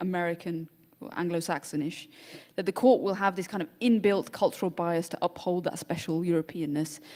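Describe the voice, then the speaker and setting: With a British accent, a woman speaks in a dark, mellow tone at a fairly low pitch. Her pace is fairly quick and her intonation fairly even. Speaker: panel moderator. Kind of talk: panel discussion.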